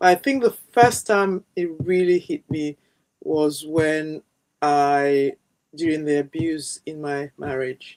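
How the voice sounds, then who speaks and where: This woman speaks at a very slow pace with a very deep, low pitch and ordinary pitch variation, in a dry, close sound with no echo. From London, England. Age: 60s. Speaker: self-love coach. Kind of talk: interview.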